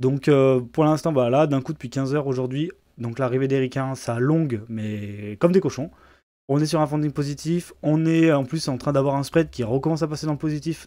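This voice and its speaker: On a very clean recording with a silent background, a man with a fairly high pitch, a dark, mellow tone and ordinary pitch variation talks at a fairly quick pace. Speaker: crypto market analyst. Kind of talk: market analysis tutorial. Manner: fast; hesitant, many filler words.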